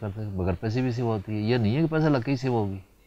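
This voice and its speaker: With a dark, mellow tone, the voice shows ordinary pitch variation. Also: man. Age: 80s+. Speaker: politician. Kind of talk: TV interview.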